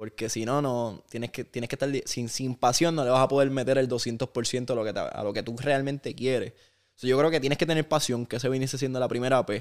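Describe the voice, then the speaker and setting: With an unremarkable speaking voice, a man speaks at a medium pitch and a fairly quick pace, with fairly even intonation and hardly any pauses. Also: very clean recording, silent background. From Puerto Rico (Aguadilla, west; later Vega Baja). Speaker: basketball broadcaster and sports executive. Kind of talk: interview. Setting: at his home.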